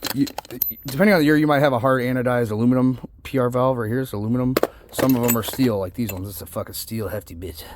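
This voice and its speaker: Noticeable background noise sits under a man's mid-range voice, which varies in pitch in an ordinary way. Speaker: transmission builder. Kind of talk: tutorial. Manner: casual, profane.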